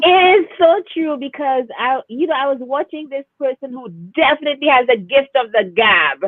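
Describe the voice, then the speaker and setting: A woman speaks in a high pitch. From Saint Lucia. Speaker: performance poet and speaker. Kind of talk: casual interview. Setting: live video stream.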